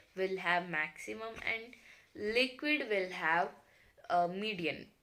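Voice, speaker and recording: A woman's bright, sharp voice at a very slow pace, with lively intonation and audible room echo. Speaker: science teacher. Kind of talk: lecture. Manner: halting, with many fillers.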